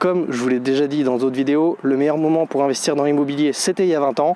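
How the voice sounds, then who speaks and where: A man talking at a fairly quick pace against noticeable background noise. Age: 30s. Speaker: real estate investor vlogger. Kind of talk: casual vlog monologue. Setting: outdoors.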